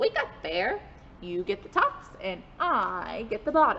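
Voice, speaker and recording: Putting on a character voice, a woman speaks at a high pitch and a fairly slow pace, with clear background noise behind her. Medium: read story. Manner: sly, persuasive.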